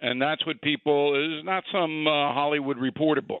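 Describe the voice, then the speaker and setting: An unremarkable speaking voice from a man, fairly high in pitch, at a moderate pace with fairly even intonation. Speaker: political commentator. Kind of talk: casual chat.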